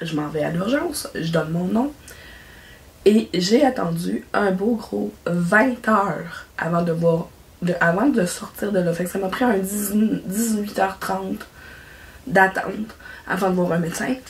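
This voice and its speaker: A woman with a Quebec accent speaks very slowly at a medium pitch, with long, frequent pauses and noticeable background noise. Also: ordinary pitch variation. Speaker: craft YouTuber. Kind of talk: casual vlog chat. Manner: halting.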